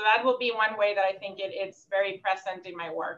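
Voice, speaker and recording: With a Puerto Rican accent, a woman speaks at medium pitch and a fairly quick pace, using ordinary pitch variation. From Puerto Rico. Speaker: social work professor. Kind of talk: panel conversation. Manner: fast.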